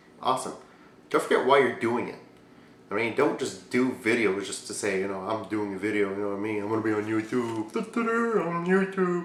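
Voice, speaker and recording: Audible room echo surrounds a man speaking fairly quickly in a medium pitch with lively intonation. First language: not English. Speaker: YouTube Q&A show host. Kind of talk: casual vlog Q&A. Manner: animated.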